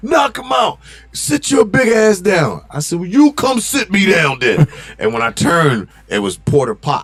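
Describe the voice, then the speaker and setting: A shouting man with a high pitch, an animated tone, and very wide pitch swings. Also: moderate pace. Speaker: fitness gym founder and trainer. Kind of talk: casual podcast interview, storytelling. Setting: live stream podcast studio. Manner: loud.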